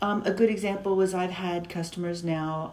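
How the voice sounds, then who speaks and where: The voice holds a fairly even intonation within audible room echo. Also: woman. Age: 50s. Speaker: patient. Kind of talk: interview.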